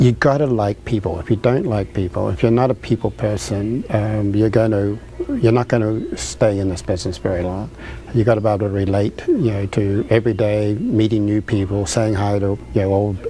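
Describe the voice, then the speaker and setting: With noticeable background noise behind him, a man with a New Zealand accent speaks at a fairly quick pace in a fairly low pitch with ordinary pitch variation. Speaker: restaurant owner. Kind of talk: interview. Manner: halting, many fillers.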